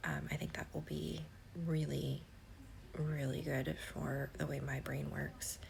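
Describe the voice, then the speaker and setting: With audible room echo, a woman speaks at a fairly slow pace with very even loudness and long, frequent pauses. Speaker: planner vlogger. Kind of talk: casual chat. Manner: hesitant, many fillers.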